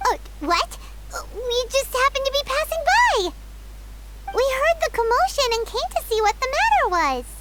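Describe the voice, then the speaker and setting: This put-on character voice is squeaky and extremely high in pitch. It keeps a moderate pace broken by long, frequent pauses. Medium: video game.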